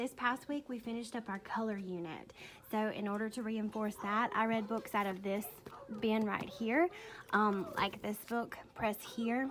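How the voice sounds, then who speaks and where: With a Mississippi accent, a woman speaks at a moderate pace and a fairly high pitch, using ordinary pitch variation. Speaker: kindergarten teacher. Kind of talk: classroom tour video. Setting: classroom. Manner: casual, conversational.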